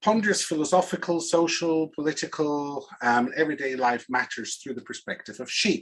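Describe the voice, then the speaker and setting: Speaking with a Swiss accent, a man uses lively intonation at a fairly high pitch. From Switzerland. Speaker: organizational consultant and speaker. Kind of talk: presentation talk.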